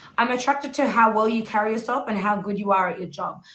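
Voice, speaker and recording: A woman's fairly high-pitched voice in an Australian accent, at a very fast pace. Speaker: dating show host. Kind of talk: reading contestant answers aloud.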